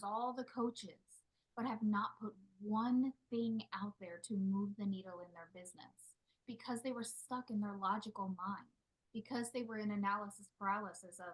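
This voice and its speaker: Somewhat breathy speech at a moderate pace, with big swings in loudness. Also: woman. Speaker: spiritual business coach. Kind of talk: live group coaching call. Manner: quieter.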